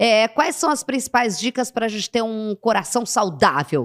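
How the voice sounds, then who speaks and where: Fairly slowly, a woman speaks with a fairly high pitch in a dry, close sound with no echo. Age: 40s. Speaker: talk show host. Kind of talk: interview.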